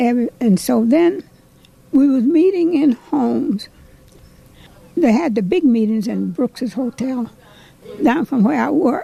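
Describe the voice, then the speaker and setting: A woman's high, lively voice with an American accent, fairly slow with long, frequent pauses, over noticeable background noise. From Ohio. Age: 80s+. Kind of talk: interview answer.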